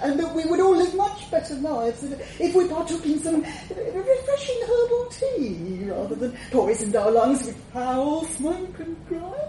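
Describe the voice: Amid clear background noise, a woman whines in a put-on character voice, pitched extremely high with big pitch swings at a fairly slow pace. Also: few pauses.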